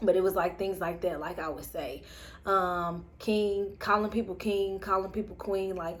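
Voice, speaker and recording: A woman with a Southern US accent speaks at a fairly slow pace and medium pitch. Her intonation is fairly even, and audible room echo is present. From US South. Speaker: spiritual vlogger. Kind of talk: personal reflection monologue. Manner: casual, many fillers.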